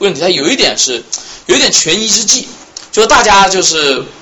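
A man talks at a very fast pace in an animated tone. Noticeable background noise runs behind him. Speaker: journalist and history student. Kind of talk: lecture. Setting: salon talk with small audience.

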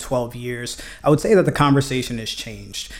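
A man speaks at medium pitch and a fairly quick pace. Noticeable background noise can be heard. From US Northeast (Brooklyn, New York City). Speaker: mobility policy expert. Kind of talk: interview podcast.

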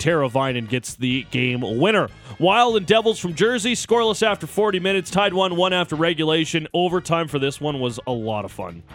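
Over music in the background, a man sounds upbeat and excited, his pitch swinging very widely. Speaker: radio sports host. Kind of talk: sports radio recap, recapping highlights. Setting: radio studio. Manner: upbeat, excited, conversational.

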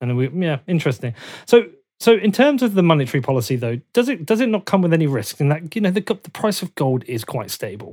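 A man with a southern English accent talks very fast in a high pitch with very wide swings, the sound dry and close with no echo. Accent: English (southern England). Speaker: podcast host. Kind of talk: interview. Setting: remote call.

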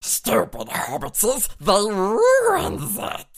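This is a put-on character voice with a growling sound. The delivery is very slow.

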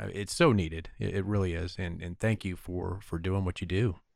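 Fairly low-pitched, a man with an unremarkable speaking voice talks at a moderate pace with fairly even intonation in a very clean recording with a silent background. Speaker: podcast host. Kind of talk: interview.

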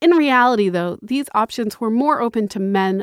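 With an American accent, a woman in an ordinary speaking voice talks at a moderate pace and fairly high pitch with lively intonation, in a very clean, dry, close recording with no echo and a silent background. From Massachusetts, US. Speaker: history teacher. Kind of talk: scripted narration.

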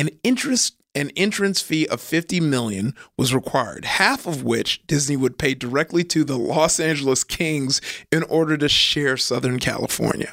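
An ordinary speaking voice at a moderate pace with ordinary pitch variation, dry and close with no echo. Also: man, fairly high pitch for a man. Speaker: podcast host. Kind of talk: casual chat. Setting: studio. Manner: upbeat, laughs often.

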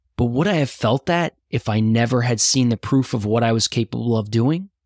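With a plain, everyday voice, a man speaks in an American accent at a moderate pace and medium pitch, with ordinary pitch variation and a dry, close sound with no echo. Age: 30s. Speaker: podcast host. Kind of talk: scripted narration.

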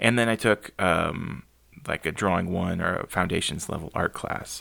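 A man's fairly low-pitched voice with a bright, sharp tone and an American accent, at a moderate pace, in a very clean recording with a silent background. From US South, San Antonio, Texas. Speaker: urban sketcher and artist. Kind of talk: casual interview.

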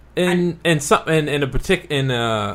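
Noticeable background noise runs under the recording. A man speaks with lively intonation. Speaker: guest. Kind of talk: casual chat.

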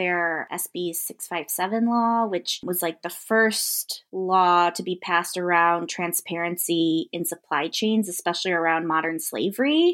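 An unremarkable speaking voice with an American accent talks at a fairly slow pace. Pitch variation is ordinary. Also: woman, very clean recording, silent background. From US Midwest, outside Chicago. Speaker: labor rights program manager. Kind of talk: casual interview.

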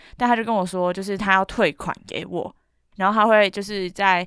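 In a very clean recording with a silent background, a woman with a Taiwanese accent speaks at medium pitch and a moderate pace, with ordinary pitch variation. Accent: Taiwanese Mandarin. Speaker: podcast co-host. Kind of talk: casual chat.

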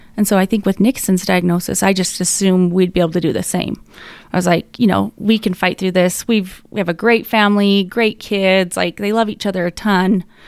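On a very clean recording with a silent background, a woman with an American accent speaks fairly quickly in an unremarkable speaking voice of medium pitch with fairly even intonation. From Utah. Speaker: bereaved mother, foundation co-founder. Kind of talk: casual interview.

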